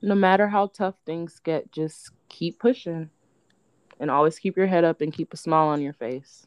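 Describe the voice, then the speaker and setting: In a dry, close sound with no echo, a woman with a fairly low pitch and a plain, everyday voice speaks with an American accent at a moderate pace with ordinary pitch variation. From United States. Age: 20s. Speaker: podcast guest, young single mother and warehouse worker. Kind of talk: casual interview.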